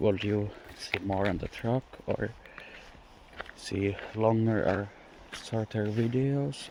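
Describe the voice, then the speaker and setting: Someone with a non-native accent speaks over noticeable background noise. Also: man. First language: not English. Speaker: car hobbyist YouTuber. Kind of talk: casual vlog walkthrough. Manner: improvised, hesitant.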